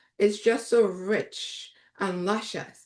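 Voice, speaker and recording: A woman speaks very slowly in a bright, sharp tone against a quiet background. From Trinidad and Tobago. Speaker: raw food chef, cooking instructor. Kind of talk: live online cooking class. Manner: animated.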